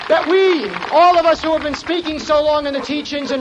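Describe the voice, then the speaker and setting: A man's fairly quick speech against noticeable background noise. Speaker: magazine editor speaking at rally. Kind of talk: rally speech. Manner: earnest, grave, forceful.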